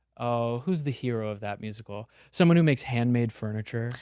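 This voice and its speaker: A man speaks at a medium pitch with ordinary pitch variation in a plain, everyday voice. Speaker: actor, comedian and singer (Broadway performer). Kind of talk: casual podcast guest conversation.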